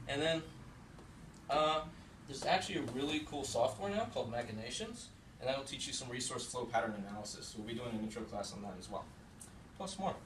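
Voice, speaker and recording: The speaker moves at a fairly quick pace with lively intonation yet takes long, frequent pauses. Room echo is audible, and background noise is noticeable. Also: man. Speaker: game designer; workshop instructor. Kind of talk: lecture. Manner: fast.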